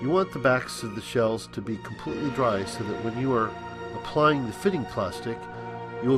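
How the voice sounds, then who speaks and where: Over music in the background, a man talks at a fairly quick pace and medium pitch. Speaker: costume teeth maker. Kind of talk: product tutorial narration.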